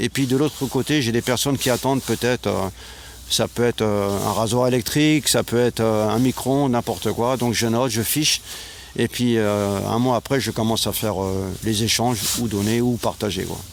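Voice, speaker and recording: A man's medium-pitched voice with fairly even intonation at a moderate pace, set against noticeable background noise. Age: 60s. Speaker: retired volunteer, guest. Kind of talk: interview. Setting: outdoors.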